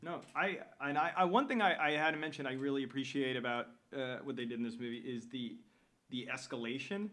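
Speaking at a fairly quick pace, a man with a medium pitch and ordinary pitch variation has a normal speaking voice. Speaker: podcast host. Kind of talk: casual chat.

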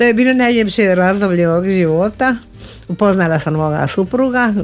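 A woman speaks with a Spanish accent and lively intonation. Music plays in the background. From Argentina, Buenos Aires. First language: Spanish (speaking Croatian). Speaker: guest. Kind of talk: interview.

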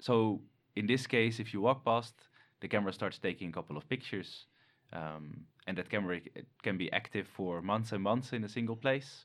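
A man with a Dutch accent and a fairly low pitch speaks at a moderate pace with lively intonation, on a very clean recording with a silent background. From Netherlands. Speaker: animal ecologist researcher.

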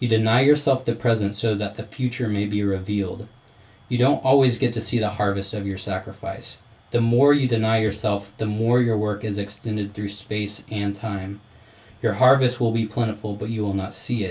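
A man speaks at a moderate pace with a fairly low pitch and somewhat breathy delivery. His intonation stays fairly even. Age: 20s. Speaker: window cleaner and church guitarist, host's younger brother. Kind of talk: casual chat; reading aloud.

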